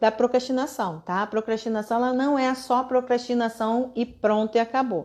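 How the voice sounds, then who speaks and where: Over a quiet background, a woman speaks at a moderate pace in a high pitch. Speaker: online course instructor. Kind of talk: live online class.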